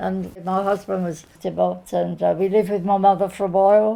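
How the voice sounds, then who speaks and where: Speaking at a fairly slow pace, a woman talks with a southern English accent. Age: 80s+. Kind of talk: interview answer. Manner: quiet, reflective.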